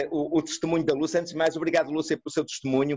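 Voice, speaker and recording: At a very fast pace, a man speaks with a European Portuguese accent. His pitch is high. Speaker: neuropsychologist. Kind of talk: online lecture and discussion. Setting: video call.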